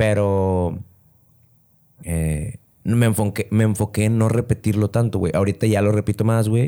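A man speaks with a Mexican accent in a fairly low, dark, mellow voice on a very clean recording with a silent background. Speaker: comedian. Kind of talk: casual chat.

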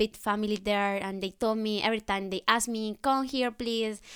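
A woman speaks in a fairly high, bright, sharp voice with a Spanish accent and fairly even intonation. The recording is very clean, with a silent background. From Colombia. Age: 20s. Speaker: au pair. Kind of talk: casual chat.

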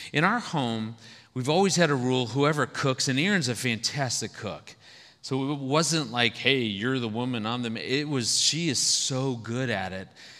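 A man's medium-pitched, bright, sharp voice at a moderate pace, with ordinary pitch variation and audible room echo. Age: 50s. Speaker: marriage speaker. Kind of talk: sermon.

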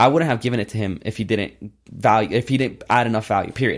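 In an ordinary speaking voice, a man of medium pitch talks at a fairly quick pace with ordinary pitch variation on a very clean recording with a silent background. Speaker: entrepreneur. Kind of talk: interview.

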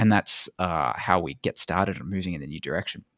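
In an ordinary speaking voice with lively intonation and a fairly quick pace, the speech is captured on a very clean recording with a silent background and a dry, close sound with no echo. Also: man. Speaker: podcast host. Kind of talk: casual interview chat.

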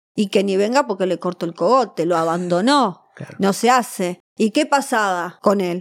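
Her intonation is lively, her pitch medium and her pace moderate, an unremarkable speaking voice from a woman. The recording is very clean, with a silent background. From Argentina, Buenos Aires. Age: 40s. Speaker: Madonna impersonator and performer. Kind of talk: interview. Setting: studio.

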